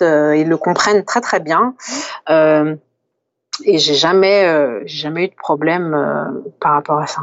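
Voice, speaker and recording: Her pitch fairly low for a woman, she speaks at a fairly slow pace with ordinary pitch variation. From France. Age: 30s. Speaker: sports therapist. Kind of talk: interview. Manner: halting, many repetitions and fillers.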